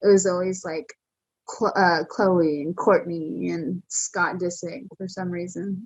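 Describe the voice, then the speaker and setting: A woman with a somewhat breathy, medium-pitched voice speaks at a very slow pace. Her intonation is fairly even, but her loudness swings widely. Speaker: professional wrestler. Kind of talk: interview. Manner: monotone at times.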